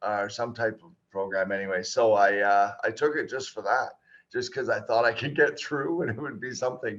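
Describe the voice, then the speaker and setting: Here a man speaks with a Canadian accent. The background is quiet. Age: 50s. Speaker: geotechnical engineer. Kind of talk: interview conversation. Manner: halting, many fillers.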